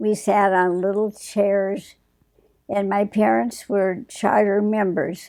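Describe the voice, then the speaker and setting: In an Upper Midwest accent, a woman speaks at medium pitch in a dark, mellow tone. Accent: Upper Midwest American. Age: 80s+. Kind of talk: interview answer.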